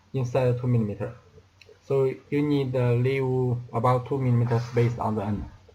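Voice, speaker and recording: A man talks in a dark, mellow, somewhat breathy tone with monotone, flat intonation. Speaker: laser engraver maker demonstrating assembly. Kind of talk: tutorial. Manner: halting, many fillers and repetitions.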